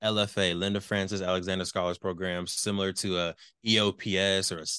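With an American accent, a man speaks in a very deep, low pitch and a bright, sharp tone. His intonation is monotone and flat against a quiet background. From US West Coast, Los Angeles area. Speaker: entrepreneur, board game founder. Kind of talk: casual interview.

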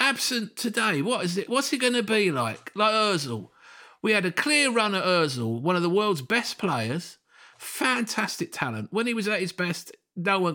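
A raised, projected voice with a bright, sharp tone swings very widely in pitch at a moderate pace. The recording is very clean, with a silent background. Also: man. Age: 50s. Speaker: football podcast host. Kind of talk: casual chat.

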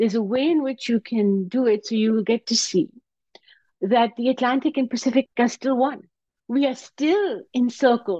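A woman with a fairly high voice and a dark, mellow tone talks at a moderate pace with ordinary pitch variation against a quiet background. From Pakistan. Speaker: historian and professor of religious studies. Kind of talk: interview about her book.

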